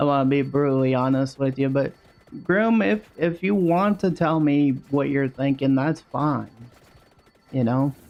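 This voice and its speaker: The speech moves at a fairly slow pace while background noise is clearly present. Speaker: gaming streamer. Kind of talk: live gameplay chat. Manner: halting.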